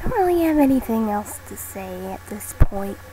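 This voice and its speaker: Noticeable background noise is present throughout. A woman talks at a fairly slow pace. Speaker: fan role-player. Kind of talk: casual talk to camera. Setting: laptop microphone, TV in background. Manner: hesitant, many fillers.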